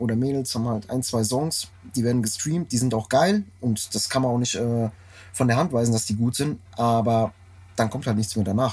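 A man at a fairly quick pace with ordinary pitch variation, music in the background. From Frankfurt, Germany. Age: 30s. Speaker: tour manager. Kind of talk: casual chat. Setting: tour bus.

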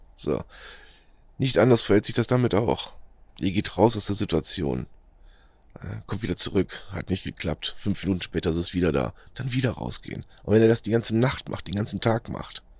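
Lively intonation and vocal fry mark this man's fairly low-pitched speech at a moderate pace. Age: 40s. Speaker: podcaster sharing experience with depression. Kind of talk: motivational monologue. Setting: outdoors in nature. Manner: halting, many fillers.

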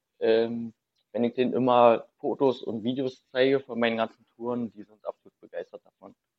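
A man at a medium pitch and a moderate pace, a normal speaking voice. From Berlin. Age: 30s. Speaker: urban explorer. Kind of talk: casual chat.

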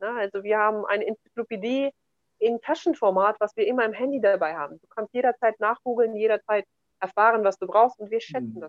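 Her pace is very fast as this woman speaks. Her pitch is fairly high, with ordinary pitch variation. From Kazakhstan, German settlement in the Altai region. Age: 30s. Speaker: entrepreneur and real estate investor. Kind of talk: interview conversation.

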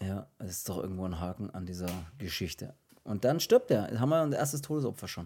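In a very clean recording with a silent background, a man with a dark, mellow tone and fairly low pitch speaks at a very fast pace with very wide pitch swings. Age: 30s. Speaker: horror film podcast host. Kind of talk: casual chat.

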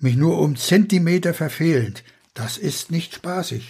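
A man talks with a fairly high pitch, lively intonation and vocal fry. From Pomerania and Rügen. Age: 80s+. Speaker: author. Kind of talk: reading aloud.

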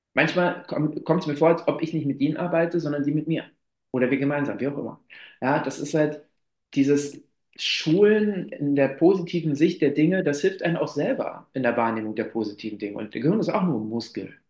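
Here is a man with an unremarkable speaking voice and a fairly high pitch. He talks at a fairly quick pace with lively intonation. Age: 30s. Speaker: climbing therapist. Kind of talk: interview.

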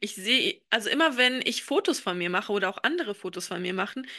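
Against a quiet background, a woman speaks at a fairly quick pace with a bright, sharp tone and very wide pitch swings. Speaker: podcast co-host. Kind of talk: casual chat. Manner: hesitant, many filler sounds.

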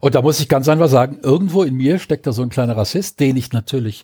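A man speaks at a fairly quick pace with lively intonation. His tone is dark and mellow, and somewhat breathy. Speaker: podcast co-host. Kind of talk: casual chat.

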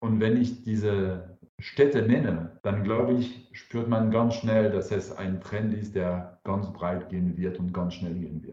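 A man with a dark, mellow tone and fairly low pitch speaks at a very slow pace, somewhat breathy, with ordinary pitch variation and hardly any pauses. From France. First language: French (speaking German). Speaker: alcohol-free wine entrepreneur. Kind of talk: interview. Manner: hesitant, with filler sounds.

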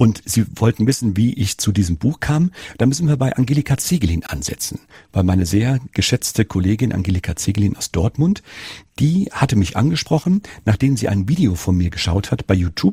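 A man's fairly low, somewhat breathy voice with a dark, mellow tone, very wide pitch swings and a fairly quick pace. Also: dry, close sound with no echo. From Rhineland-Palatinate, Germany. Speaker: nursing educator and author. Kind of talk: interview.

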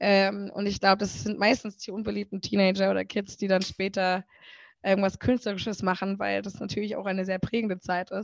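A woman of medium pitch at a fairly quick pace, monotone and flat in intonation, against a quiet background. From German village. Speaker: singer. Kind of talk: casual interview.

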